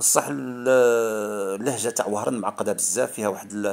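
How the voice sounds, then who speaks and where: The man's voice sits fairly low, and he keeps a moderate pace. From Algeria, Oran. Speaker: YouTuber, commentator. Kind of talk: casual vlog monologue. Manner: halting, many repetitions and fillers.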